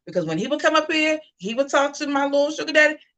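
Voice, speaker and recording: Her tone is animated, bright and sharp as this woman speaks. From US Mid-Atlantic (DC/Maryland/Virginia area). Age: 40s. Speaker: online talk show host. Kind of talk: casual commentary livestream.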